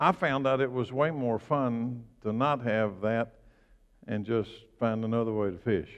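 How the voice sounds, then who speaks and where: With an ordinary speaking voice, a man talks at a fairly slow pace, his medium pitch showing ordinary variation. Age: 60s. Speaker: pastor. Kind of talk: sermon.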